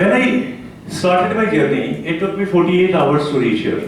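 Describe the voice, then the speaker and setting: A man's high-pitched voice with a non-native accent, audible room echo, and noticeable background noise. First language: not English. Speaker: conference speaker, rehab organization head. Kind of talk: conference talk. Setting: conference hall with audience. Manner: halting, many fillers.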